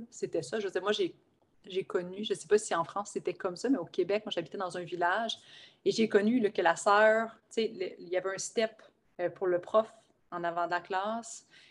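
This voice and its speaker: This woman's pitch varies in an ordinary way while she talks at a moderate speed. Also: medium pitch for a woman. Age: 30s. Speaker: life coach and shaman. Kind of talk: casual interview chat. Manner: animated.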